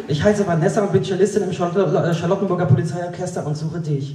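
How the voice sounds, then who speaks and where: A man with a high pitch and ordinary pitch variation speaks at a moderate pace, with light background noise and audible room echo. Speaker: poetry slam performer. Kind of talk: poetry slam performance. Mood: dry ironic humour. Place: stage.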